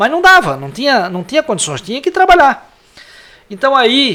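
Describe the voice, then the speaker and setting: A man is speaking. His intonation is lively. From Santa Catarina, Brazil (Antônio Carlos, Greater Florianópolis). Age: 60s. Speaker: lawyer and former city councillor. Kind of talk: interview.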